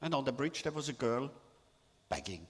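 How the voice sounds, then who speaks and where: A man is speaking. He has a Swiss German accent. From Switzerland. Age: 70s. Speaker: artist and photographer. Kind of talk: talk to an audience. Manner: halting.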